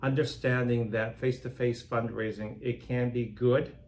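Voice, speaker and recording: A man's somewhat breathy, medium-pitched voice moves along at a moderate pace. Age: 60s. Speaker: nonprofit philanthropy director. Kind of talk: interview conversation.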